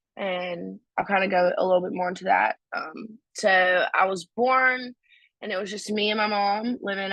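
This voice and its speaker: Speaking at a fairly slow pace with a North Carolina accent, a woman keeps her medium pitch in fairly even intonation. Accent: rural North Carolina Southern. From US South, North Carolina (Stokes County). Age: 20s. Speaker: recovery speaker. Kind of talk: testimony.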